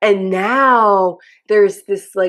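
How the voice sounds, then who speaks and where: Using an unremarkable speaking voice, a woman talks at a medium pitch and a fairly slow pace. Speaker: podcast host. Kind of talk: casual interview chat.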